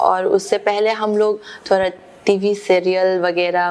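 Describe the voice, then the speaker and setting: A woman with a Manipuri accent speaks at a medium pitch. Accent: Manipuri-accented Hindi. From Manipur, India. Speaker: theatre actor. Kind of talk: interview answer. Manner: hesitant, searching for words.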